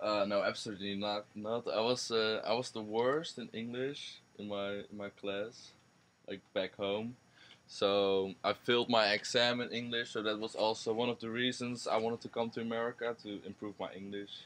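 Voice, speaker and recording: In a Dutch accent, a man at medium pitch talks at a moderate pace with monotone, flat intonation. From Netherlands. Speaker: university student. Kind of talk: interview.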